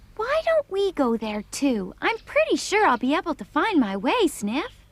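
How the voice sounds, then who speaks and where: A put-on character voice at high pitch with very wide pitch swings and a moderate pace. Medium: fan dub. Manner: composed, matter-of-fact.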